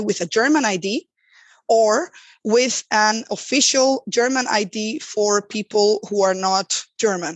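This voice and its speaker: Fairly high pitch from a woman in a Spanish accent, with ordinary pitch variation. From Spain. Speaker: accessibility designer. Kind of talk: interview.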